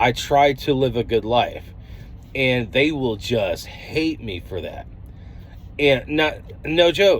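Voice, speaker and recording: This man with an American accent speaks at a very slow pace, leaving long, frequent pauses. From US, Denver, Colorado. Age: 30s. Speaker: trucker vlogger. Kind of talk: vlog monologue. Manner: casual, halting with fillers.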